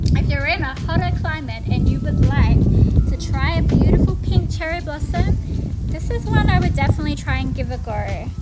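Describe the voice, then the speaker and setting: A woman speaks at a fairly quick pace with music playing in the background. Audible room echo surrounds her voice. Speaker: gardening vlogger. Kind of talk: casual garden tour tutorial.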